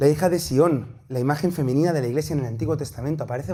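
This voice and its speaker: A man speaks in a fairly high pitch with a dark, mellow tone and a somewhat breathy quality. Room echo is audible. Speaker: priest and theology teacher. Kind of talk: lecture. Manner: fast.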